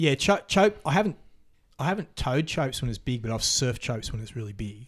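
A man with an Australian accent, somewhat breathy and fairly quick, in a very clean recording with a silent background. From Australia, Queensland. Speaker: big wave surfer. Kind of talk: casual chat. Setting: host's home.

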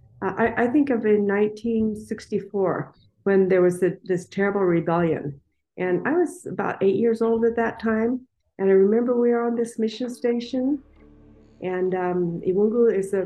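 Music plays in the background. A woman speaks at a fairly high pitch and a fairly slow pace. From Democratic Republic of the Congo. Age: 60s. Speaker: missionary. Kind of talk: interview. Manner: halting.

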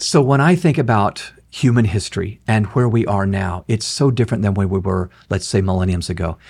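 Speaking at a fairly quick pace with hardly any pauses, the voice is somewhat breathy and shows ordinary pitch variation. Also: man, fairly low pitch for a man. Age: 60s. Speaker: author and leadership speaker. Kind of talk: interview.

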